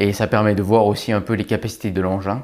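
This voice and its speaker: A man with a plain, everyday voice speaks at a fairly quick pace in a fairly low pitch, his intonation fairly even. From France (Brive, Corrèze). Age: 20s. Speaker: army tank platoon lieutenant. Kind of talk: interview testimony (recruitment video).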